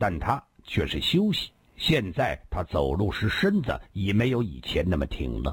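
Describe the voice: Simple, plain reading aloud.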